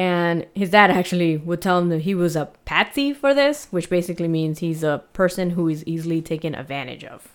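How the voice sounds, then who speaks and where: In a very clean recording with a silent background, a woman speaks in an ordinary speaking voice at a fairly low pitch. She moves at a fairly quick pace with hardly any pauses. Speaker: podcast host. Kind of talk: casual chat and true crime storytelling. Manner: casual, chatty, laughs often.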